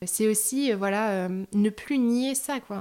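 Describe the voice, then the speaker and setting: Very slowly and with fairly even intonation, a woman speaks in a dark, mellow tone on a very clean recording with a silent background. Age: 30s. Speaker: bereaved person sharing her story. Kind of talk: testimony. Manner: halting, many fillers.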